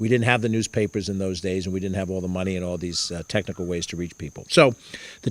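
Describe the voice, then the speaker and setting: A man with a New York accent talks at a very fast pace. The recording is very clean, with a silent background. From Mount Vernon, New York, US. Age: 60s. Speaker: politician. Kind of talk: campaign talk. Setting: house party with audience.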